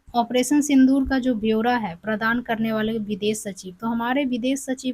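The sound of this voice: A woman's fairly high voice with a slightly mellow tone, ordinary pitch variation and a moderate pace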